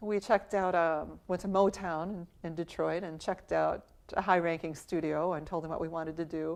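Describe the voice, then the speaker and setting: A woman's fairly low, monotone voice with an American accent, flat in intonation, at a moderate pace. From US. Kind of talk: interview testimony.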